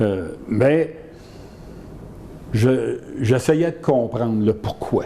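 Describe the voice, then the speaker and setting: The speaker talks at a very slow pace with lively intonation and long, frequent pauses, while noticeable background noise runs underneath. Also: man, medium pitch for a man. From Quebec, Saint-Hyacinthe region. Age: 70s. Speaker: retired lawyer and union official. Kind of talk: interview.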